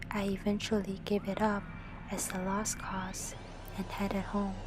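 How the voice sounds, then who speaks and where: Someone with a non-native accent talks at a fairly slow pace. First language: not English. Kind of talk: scary story narration, ASMR. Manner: soft, quiet, whispery.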